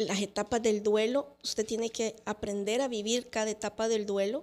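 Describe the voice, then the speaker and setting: A woman with a fairly high pitch speaks at a fairly slow pace. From El Salvador. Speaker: lawyer and entrepreneur; lawyer. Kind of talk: testimony. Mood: reflective, sometimes sad. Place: studio. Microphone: studio mic.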